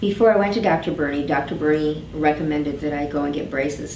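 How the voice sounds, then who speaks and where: A woman's very deep, low voice at a fairly quick pace, with ordinary pitch variation, noticeable background noise and audible room echo. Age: 60s. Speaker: dental patient. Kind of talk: testimony. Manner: halting.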